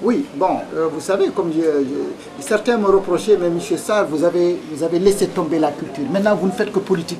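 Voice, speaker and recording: With a Senegalese accent, a man talks at a moderate pace in a high pitch with ordinary pitch variation over noticeable background noise. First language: Pulaar (speaking French). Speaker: politician and poet. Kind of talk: TV interview. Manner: hesitant, many fillers.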